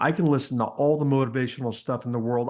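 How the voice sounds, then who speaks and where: A man with an American accent talks at a very fast pace with ordinary pitch variation over a quiet background. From Texas, small town. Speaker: personal transformation coach. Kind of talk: podcast interview.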